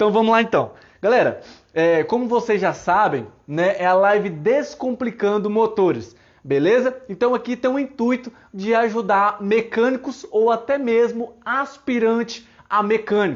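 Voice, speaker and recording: Keeping his loudness very even, a man speaks in a high pitch with ordinary pitch variation. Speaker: mechanic teaching engines online. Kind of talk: live-stream tutorial. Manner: casual, many fillers.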